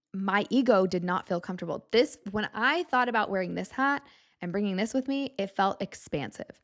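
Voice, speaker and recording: Speaking at a moderate pace and medium pitch, a woman uses lively intonation in a plain, everyday voice, on a very clean recording with a silent background. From US Southwest, Tucson Arizona. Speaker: podcast host. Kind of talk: solo podcast monologue. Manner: casual, conversational.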